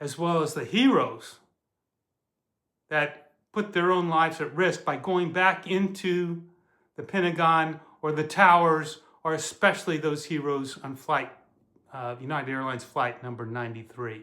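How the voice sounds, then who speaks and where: Speaking with an American accent, a man with a bright, sharp tone and fairly high pitch moves at a moderate pace with ordinary pitch variation and long, frequent pauses. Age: 60s. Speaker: retired Marine and intelligence officer, reality show applicant. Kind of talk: casting audition video. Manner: casual, conversational.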